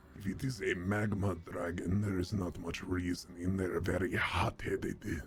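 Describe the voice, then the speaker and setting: In a put-on character voice, a man speaks with very deep, low pitch at a moderate pace and hardly any pauses, over clear background noise. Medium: actual play. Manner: dry, literal.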